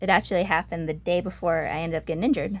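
A woman talks at a very fast pace, her intonation fairly even. Vocal fry runs through her voice. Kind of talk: casual chat. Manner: soft-spoken.

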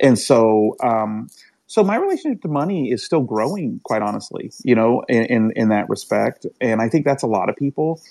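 Here a man with an American accent speaks at a moderate pace. His tone is dark and mellow, and his intonation is lively. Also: medium pitch for a man. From US Midwest. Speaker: caller. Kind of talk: casual chat. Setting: live online audio room. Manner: halting.

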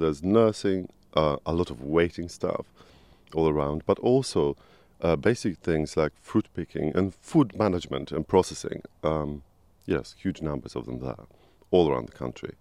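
In a dry, close recording with no echo, a man with a Polish accent talks at a moderate pace in a very deep, low voice of dark, mellow tone, his intonation lively and his loudness swinging widely. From Poland. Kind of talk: interview.

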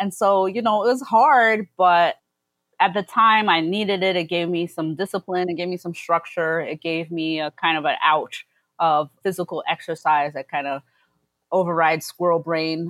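In a New York accent, a woman talks at a moderate pace with a fairly low pitch and ordinary pitch variation. The very clean recording has a silent background and a dry, close sound with no echo. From US Northeast, Brooklyn. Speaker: food community organizer. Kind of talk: casual chat.

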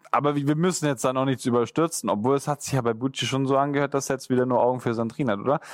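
The recording is very clean, with a silent background. A man talks very fast at medium pitch with ordinary pitch variation. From Swabia, southern Germany. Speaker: podcast co-host, former winner of the show. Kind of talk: casual chat.

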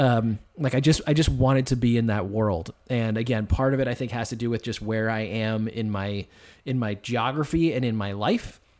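A man with an American accent speaks at an even, moderate speed, his pitch rising and falling in an ordinary way, captured in a very clean recording against a silent background. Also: medium pitch for a man. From US Northeast, Boston suburbs. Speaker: musical theater lyricist and playwright. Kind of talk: casual chat.

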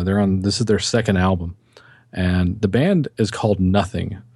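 An American accent at a moderate pace, with ordinary pitch variation and noticeable background noise. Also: man. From Texas. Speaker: music podcaster. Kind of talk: casual chat.

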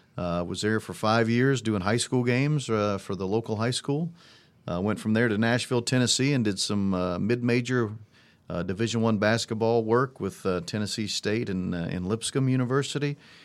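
In a very clean recording with a silent background, a man talks with an American accent. His pitch is medium, with ordinary pitch variation and a moderate pace. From US Midwest, Indiana. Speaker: sports broadcaster and radio analyst. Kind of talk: live radio game commentary (replayed clip). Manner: animated, celebratory.

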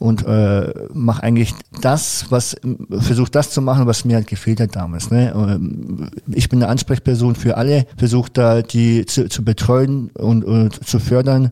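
A man's medium-pitched voice, dark and mellow in tone, with ordinary pitch variation and a fairly slow pace. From Franconia, Germany. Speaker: para taekwondo athlete. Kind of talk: casual interview chat. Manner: hesitant with many fillers.

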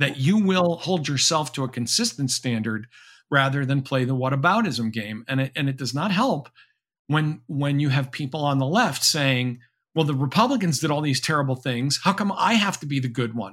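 Recorded very cleanly over a silent background, a man with an American accent speaks in an ordinary speaking voice with a fairly high pitch and lively intonation. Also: moderate pace. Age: 60s. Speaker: professor and author. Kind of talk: interview.

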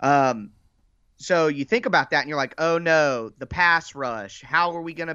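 With an American accent, this plain, everyday voice moves at a moderate pace with ordinary pitch variation. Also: man. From Ohio, US Midwest. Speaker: football podcaster. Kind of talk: casual chat.

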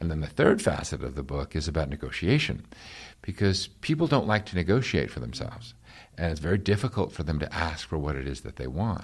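A man with an American accent talks at a fairly quick pace in a very deep, low pitch, with vocal fry and lively intonation. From New York. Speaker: real estate executive and leadership coach. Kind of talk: interview. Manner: frequent hesitations and repeated words.

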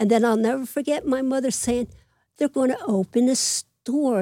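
In a Philadelphia accent, the voice has a dark, mellow tone and a dry, close sound with no echo. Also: woman. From Philadelphia (Manayunk), Pennsylvania. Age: 80s+. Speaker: retired babysitter and mother. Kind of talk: casual interview. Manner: energetic.

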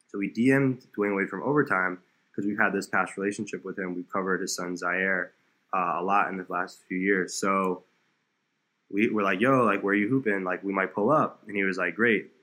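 In an ordinary speaking voice, a man talks fairly quickly with an American accent. His pitch is fairly low and his intonation fairly even. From South Florida. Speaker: basketball content creator and dunker. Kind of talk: casual chat.

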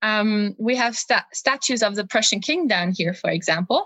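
Speaking at a moderate pace with a German accent, a woman uses lively intonation and a fairly high pitch. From Germany. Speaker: history research assistant. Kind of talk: interview.

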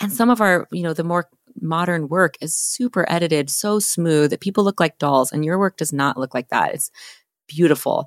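In an unremarkable speaking voice, a woman with a fairly low pitch and lively intonation speaks at a moderate pace on a very clean recording with a silent background. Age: 40s. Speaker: podcast host and photographer. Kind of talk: podcast interview.

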